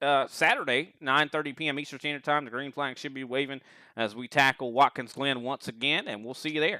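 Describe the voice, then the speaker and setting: A fairly quick delivery with a Southern US accent. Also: man. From US South. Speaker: sim racing commentator. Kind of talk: live commentary sign-off. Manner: casual.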